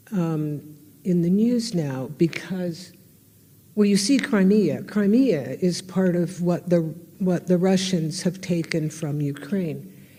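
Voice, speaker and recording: With an American accent, a woman speaks very slowly in a fairly low, dark, mellow voice that is somewhat breathy, her intonation lively. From United States. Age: 80s+. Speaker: historian and artist. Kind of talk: public lecture.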